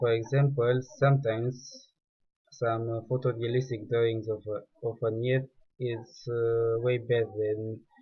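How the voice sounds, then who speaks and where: A man with a non-native accent speaks at a medium pitch, very slowly, in a monotone, flat way. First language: not English. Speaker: 3D artist. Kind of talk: tutorial. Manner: halting.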